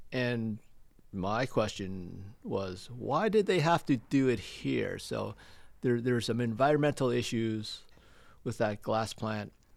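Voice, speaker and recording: A man with a Canadian accent speaks at a very slow pace and medium pitch, with ordinary pitch variation. The recording is very clean with a silent background. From Stratford, Ontario, Canada. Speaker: restaurant owner. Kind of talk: interview. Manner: halting.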